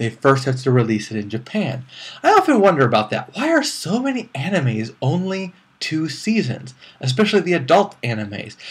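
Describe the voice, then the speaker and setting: Somewhat breathy and fairly high-pitched, a man with an American accent talks at a fairly quick pace, his pitch swinging very widely. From US Northeast. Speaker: anime reviewer. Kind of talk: review monologue. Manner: casual, conversational.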